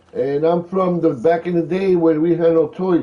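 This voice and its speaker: A man with an American accent talks at a moderate pace and a high pitch. Noticeable background noise is present. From Philadelphia, US Northeast. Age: 60s. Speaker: gaming livestreamer. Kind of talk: live gameplay commentary with chat reading. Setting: home livestream. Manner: casual, chatty.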